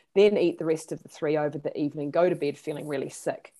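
Here a woman speaks with a New Zealand accent. Her voice has a fairly low pitch. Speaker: therapist. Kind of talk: interview. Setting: video call.

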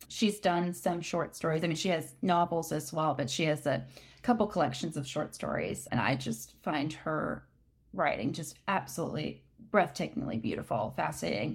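Over a silent background in a very clean recording, the voice carries vocal fry and lively intonation at a moderate pace. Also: woman, very deep, low pitch for a woman. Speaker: fiction author and former athlete. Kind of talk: casual interview chat.

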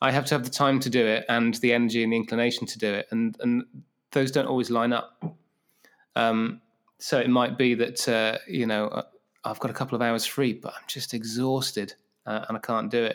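Talking at a fairly quick pace, a man with a medium pitch keeps his intonation fairly even. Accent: southern English. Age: 40s. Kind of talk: casual interview. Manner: halting, many fillers.

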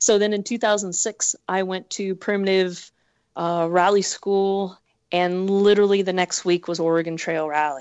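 In an American accent, a woman talks at a moderate pace and medium pitch with fairly even intonation. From Northern California. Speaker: rally co-driver. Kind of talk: casual chat.

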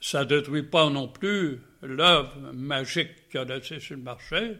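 A man with a fairly high pitch speaks at a very slow pace. His pitch varies in an ordinary way. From Quebec, Saguenay (Chicoutimi). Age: 90s. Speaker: painter. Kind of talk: interview. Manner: halting.

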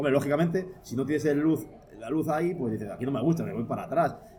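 Talking at a very fast pace, a man has a dark, mellow tone and ordinary pitch variation. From Palencia, northern Spain. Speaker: photographer and photo-editing teacher. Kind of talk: casual interview. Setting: studio recording with drinks.

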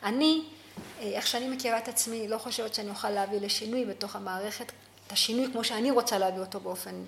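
There is noticeable background noise behind this woman. Her fairly high pitch shows ordinary variation. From Ethiopia. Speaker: social worker. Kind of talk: interview.

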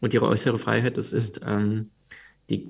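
His voice sits fairly low, this man speaking with vocal fry. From Crimea, Ukraine; moved to Germany at twelve. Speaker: personal development coach and author. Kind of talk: podcast interview.

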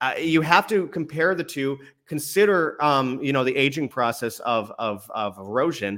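This man has a normal speaking voice with a Canadian accent, fairly high in pitch, with lively intonation at a moderate pace. The recording is very clean, with a silent background. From Canada. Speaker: independent journalist and travel documentarian. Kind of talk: interview, casual chat. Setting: live stream.

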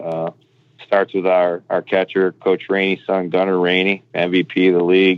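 The man's voice sits at a very deep, low pitch. He speaks at a moderate pace. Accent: American. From Michigan. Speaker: college baseball coach. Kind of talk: interview.

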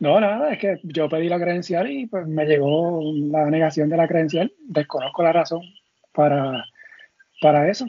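This man has an unremarkable speaking voice, fairly high in pitch, with ordinary pitch variation at a moderate pace. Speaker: sports podcast host. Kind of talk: casual chat.

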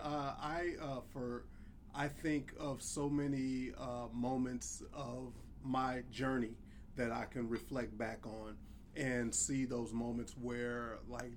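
A man at medium pitch with an American accent, very slow and fairly even in intonation, with audible room echo. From US South. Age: 50s. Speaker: podcast co-host. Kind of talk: casual chat.

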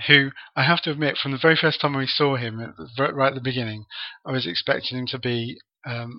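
A man speaks at a fast pace with medium pitch. His intonation stays fairly even.

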